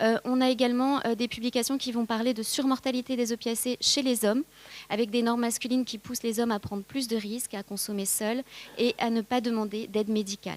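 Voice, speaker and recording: With fairly high pitch and monotone, flat intonation, a woman speaks at a fairly quick pace in a dry, close sound with no echo. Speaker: pharmacist and addiction researcher. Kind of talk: conference talk. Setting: conference with audience. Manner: fast; hesitant, many fillers.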